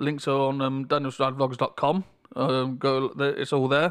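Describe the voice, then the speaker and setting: A man speaks with a British accent in a fairly high pitch. The recording is very clean with a silent background. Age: 30s. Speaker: podcaster. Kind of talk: casual monologue. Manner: halting. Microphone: levels may be too loud or quiet.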